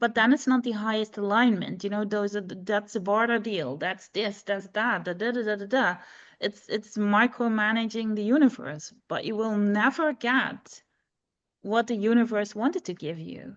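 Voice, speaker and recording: A woman's fairly high voice with a non-native accent, at a moderate pace with ordinary pitch variation, over a quiet background. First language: not English. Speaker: energy coach. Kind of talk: interview conversation.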